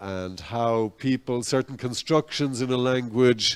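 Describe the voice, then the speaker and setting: A man with a Dublin accent at a medium pitch and a fairly slow pace, in a dry, close sound with no echo. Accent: Dublin Irish English. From Ireland, Dublin. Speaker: invited speaker. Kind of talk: public talk. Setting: cafe event with audience.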